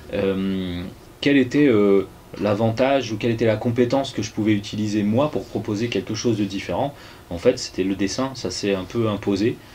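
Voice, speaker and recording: A man with a fairly low pitch keeps a fairly even intonation at a moderate pace. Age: 30s. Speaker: musician and comic artist. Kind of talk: interview. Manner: halting, many hesitations.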